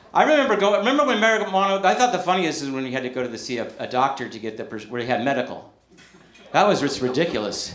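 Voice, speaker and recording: A man with an American accent talks very fast at a fairly high pitch, with big swings in loudness and very wide pitch swings. Room echo is audible and background noise is noticeable. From Northern California. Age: 50s. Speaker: stand-up comedian. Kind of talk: stand-up. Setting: stage with audience. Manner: animated.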